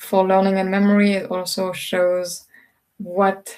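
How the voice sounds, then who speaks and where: At a fairly slow pace, a woman speaks in a somewhat breathy voice of medium pitch. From Switzerland. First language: French and Swiss German. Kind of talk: recorded lecture.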